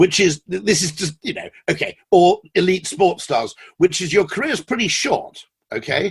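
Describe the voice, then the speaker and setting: Speaking at a moderate pace with a British accent, a man uses a high pitch and very wide pitch swings, with a dry, close sound and no echo. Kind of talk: interview answer. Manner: witty, charming.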